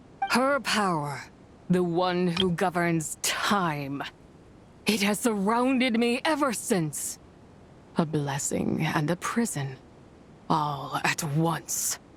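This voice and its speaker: Using a put-on character voice, a female-sounding speaker talks very slowly at medium pitch, leaving long, frequent pauses over clear background noise. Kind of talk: solemn archaic speech. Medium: video game. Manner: imperious, grave.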